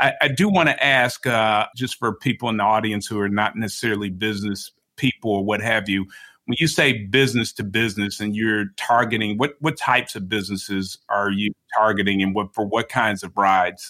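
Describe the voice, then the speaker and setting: A man talks fairly quickly with an American accent, in a plain, everyday voice. His pitch sits fairly low and his intonation stays fairly even. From Chicago. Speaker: podcast host. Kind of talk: interview.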